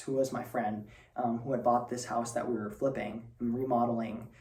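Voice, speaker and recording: A medium-pitched man's voice with audible room echo. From northern Spain. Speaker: student presenter. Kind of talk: personal talk. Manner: hesitant, many fillers.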